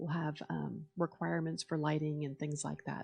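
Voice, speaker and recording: Fairly quick speech with vocal fry and ordinary pitch variation, a dark, mellow tone, a very clean recording against a silent background, and a dry, close sound with no echo. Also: woman. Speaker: city attorney. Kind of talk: public meeting presentation. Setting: school board meeting room with audience.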